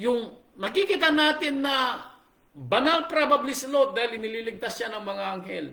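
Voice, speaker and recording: An animated man in a raised, projected voice with lively intonation and audible room echo. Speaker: pastor. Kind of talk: sermon. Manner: animated, raising voice.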